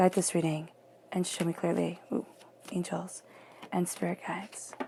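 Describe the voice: A woman talks with a fairly low pitch and a dark, mellow tone. Her pitch barely moves, her pace is fairly slow, and vocal fry runs through it.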